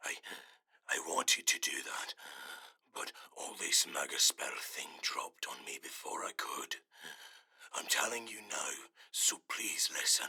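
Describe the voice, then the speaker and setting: Someone whispers in a put-on character voice at a fairly slow pace. Long pauses come often. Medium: audio drama. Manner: earnest.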